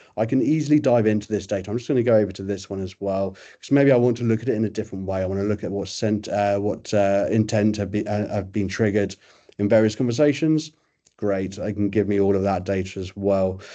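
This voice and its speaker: A man's fairly low, dark, mellow voice at a very fast pace, with fairly even intonation and a quiet background. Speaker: software vendor presenter. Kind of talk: webinar product demo.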